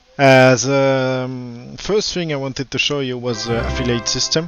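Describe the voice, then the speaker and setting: Speaking with a French accent, a man keeps a moderate pace and fairly even intonation. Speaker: game server admin, streamer. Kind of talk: live stream presentation. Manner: hesitant, many fillers.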